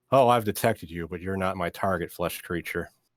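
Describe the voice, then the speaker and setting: Putting on a robotic character voice, a man talks at a fairly quick pace and a very deep, low pitch on a very clean recording with a silent background. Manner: cold, mechanical.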